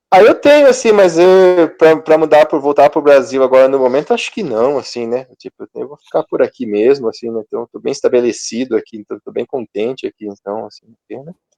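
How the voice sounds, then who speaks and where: Fairly high-pitched with a dark, mellow tone, a man talks at a fairly quick pace with hardly any pauses and lively intonation. The sound is dry and close with no echo, and his loudness swings widely. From Brazil, interior of Paraná. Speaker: control and automation engineer. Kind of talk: interview. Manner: casual, filler-heavy.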